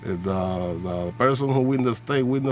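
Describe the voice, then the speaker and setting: Noticeable background noise sits under fairly slow speech. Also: man. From Puerto Rico. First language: Spanish. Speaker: vlogger. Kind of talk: political rant. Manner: animated.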